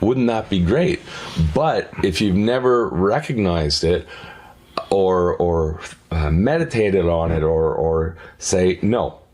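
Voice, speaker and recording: A man speaks very slowly in a very deep, low voice, his intonation lively and his loudness very even. Noticeable noise sits in the background. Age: 60s. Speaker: podcast guest. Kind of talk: casual chat. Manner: halting.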